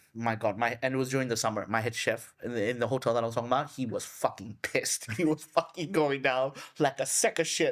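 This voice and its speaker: Very fast speech with hardly any pauses over noticeable background noise. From Thailand. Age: 30s. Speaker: chef and podcast host. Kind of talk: casual interview chat. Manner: animated.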